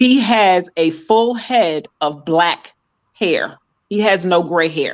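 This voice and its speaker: Speaking with an American accent, a woman goes at a very slow pace with ordinary pitch variation. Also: medium pitch for a woman. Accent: slight Caribbean lilt noticed. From New York. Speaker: podcast guest. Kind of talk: casual chat.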